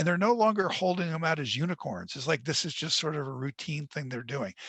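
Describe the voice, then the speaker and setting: This man's voice carries vocal fry and a fairly high pitch. His intonation is lively. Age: 60s. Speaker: author. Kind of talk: webinar Q&A.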